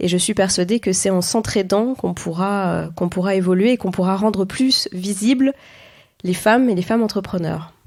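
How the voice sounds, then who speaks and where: A woman at medium pitch, moderate pace and ordinary pitch variation, on a very clean recording with a silent background. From France, Auvergne (Clermont-Ferrand). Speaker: entrepreneur and ghostwriter. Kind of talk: interview conversation. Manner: hesitant, frequent fillers.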